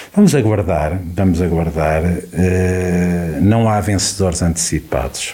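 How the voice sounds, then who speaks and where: Noticeable background noise surrounds a man with a very deep, low pitch. He talks at a very slow pace with fairly even intonation. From Portugal, Viseu district. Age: 50s. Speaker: local election candidate. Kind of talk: radio election debate. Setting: radio studio.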